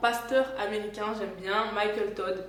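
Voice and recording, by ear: A woman's voice in audible room echo, with fairly even intonation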